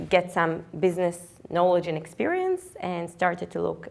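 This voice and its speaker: A woman with an Israeli accent at a moderate pace and a fairly low pitch. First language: Hebrew. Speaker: physician and startup co-founder. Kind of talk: startup pitch presentation. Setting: stage with live audience. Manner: halting, many fillers.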